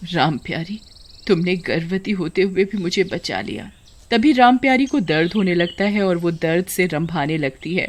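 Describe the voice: The text is simply read out loud, with nothing added.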